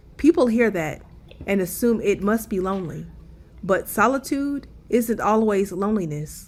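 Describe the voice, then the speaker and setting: A woman with an unremarkable speaking voice, medium pitch, lively intonation and a moderate pace. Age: 30s. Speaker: travel vlogger. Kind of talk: scripted narration. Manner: reflective.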